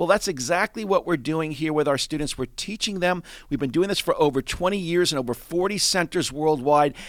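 A man with a fairly high pitch speaks in an unremarkable speaking voice with ordinary pitch variation and hardly any pauses. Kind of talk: sales-pitch style promotional talk for trading classes. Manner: confident, persuasive, fluent, a bit rushed.

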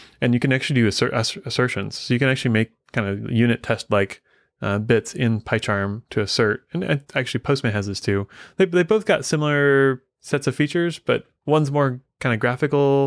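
Recorded very cleanly against a silent background with a dry, close sound and no echo, a plain, everyday voice speaks at a fairly quick pace in an American accent. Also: man, medium pitch for a man, lively intonation. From US Midwest. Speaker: software consulting company leader. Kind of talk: casual interview chat.

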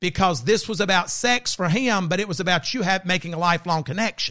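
A high-pitched man with an American accent speaks in a raised, projected voice at a fairly quick pace. His intonation is lively, and the background is quiet. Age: 50s. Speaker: podcast host. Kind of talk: casual chat. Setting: studio.

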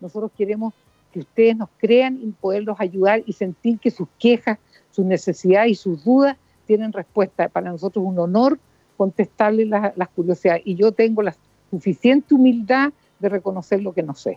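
A woman talks at a moderate pace in a dark, mellow tone. The sound is dry and close, with no echo. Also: medium pitch for a woman, ordinary pitch variation. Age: 70s. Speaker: radio host and doctor. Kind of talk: talk radio chat.

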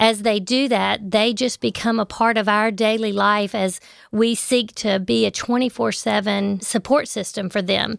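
With a Southern US accent, a woman speaks at a fairly slow pace with hardly any pauses, her pitch fairly high and her intonation fairly even. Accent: Southern American. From US South, Memphis, Tennessee. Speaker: maternity home co-founder. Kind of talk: interview. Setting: studio.

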